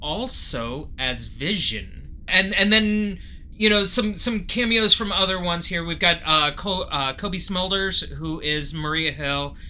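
A man projects a raised voice at a high pitch, with ordinary pitch variation. He moves at a fairly slow pace. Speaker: podcast co-host. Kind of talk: casual chat.

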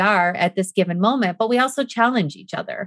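A woman's plain, everyday voice at medium pitch, with ordinary pitch variation, a fairly quick pace, and dry, close sound with no echo. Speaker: podcast guest. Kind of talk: casual chat.

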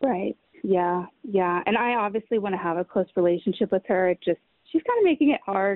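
At a fairly quick pace, a woman with a plain, everyday voice talks at medium pitch, her loudness very even and her pitch variation ordinary. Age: 20s. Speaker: caller. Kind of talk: casual chat. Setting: outdoors.

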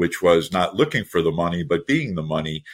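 A man with an American accent, very deep and low in pitch, with ordinary pitch variation, on a very clean recording with a silent background. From United States. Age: 60s. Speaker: startup investor and mentor. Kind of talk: interview.

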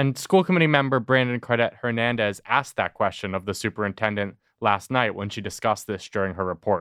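A man talks very fast in a fairly low pitch, with hardly any pauses. The background is quiet and the sound is dry and close, with no echo. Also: ordinary pitch variation. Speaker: podcast host. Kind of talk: news recap discussion.

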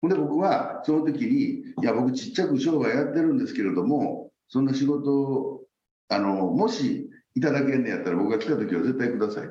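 Speaking at a fairly quick pace in a Kansai accent, a man is heard with audible room echo. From Osaka, Japan. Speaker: company president. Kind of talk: interview.

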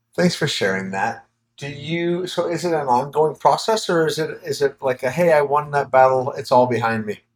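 A man speaks at a moderate pace with hardly any pauses, his pitch fairly high. He has an unremarkable speaking voice with lively intonation. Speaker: podcast host and coach. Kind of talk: podcast interview. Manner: warm, upbeat.

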